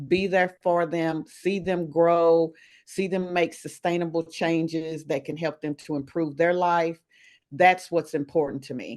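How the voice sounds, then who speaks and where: Over a quiet background, a woman speaks at a fairly slow pace. Her fairly low voice stays monotone and flat. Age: 60s. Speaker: wellness coach. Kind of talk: interview.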